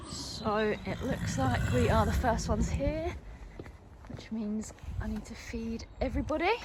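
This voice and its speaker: With noticeable background noise and audible room echo, a woman speaks at a fairly slow pace. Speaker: equestrian vlogger. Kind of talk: vlog narration.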